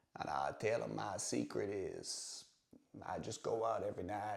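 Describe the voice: A man puts on a raspy character voice pitched fairly low. He keeps a moderate pace.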